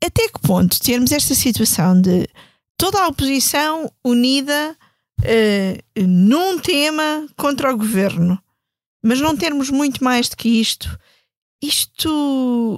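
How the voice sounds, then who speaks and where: A woman's high voice with very wide pitch swings, a very slow pace, and a dry, close sound with no echo. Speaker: podcast host. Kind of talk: political discussion.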